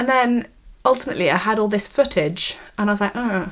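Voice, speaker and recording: Speaking at a fairly quick pace with a Welsh accent, a woman uses a fairly high pitch and ordinary pitch variation. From Wales. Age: 18. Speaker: vlogger, university student. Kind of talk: vlog, casual talk to camera. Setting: bedroom, camera on tripod. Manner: halting, many fillers and restarts.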